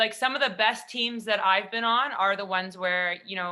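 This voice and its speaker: A loud woman's voice with a Canadian accent, bright and sharp in tone, medium in pitch, fairly quick and fairly even in intonation, in a very clean recording with a silent background. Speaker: national team hockey player. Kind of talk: panel discussion.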